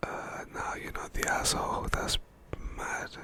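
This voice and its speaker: A man whispers at a moderate pace over noticeable background noise. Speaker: ASMR creator. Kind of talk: casual commentary on reddit posts, ASMR style. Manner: soft-spoken, whispering.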